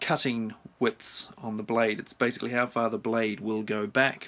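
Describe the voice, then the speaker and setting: A man with a New Zealand accent talks at a medium pitch in a bright, sharp tone. His pace is fairly slow, and the recording is very clean with a silent background. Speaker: tool reviewer. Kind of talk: product review. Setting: home garage. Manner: casual.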